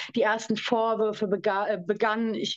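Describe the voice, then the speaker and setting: With a fairly high pitch, a woman speaks in a monotone, flat intonation. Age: 20s. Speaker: survivor of domestic abuse. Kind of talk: testimony.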